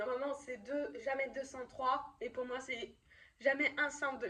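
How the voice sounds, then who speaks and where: At a fairly slow speed, a woman says her lines. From France, Lyon. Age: 20s. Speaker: youtuber, student. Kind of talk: vlog. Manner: halting, many fillers.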